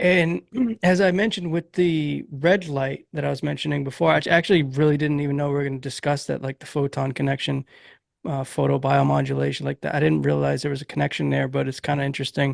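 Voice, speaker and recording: A man talks at a very fast pace with a Massachusetts accent. The background is quiet. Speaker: podcast host. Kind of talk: interview.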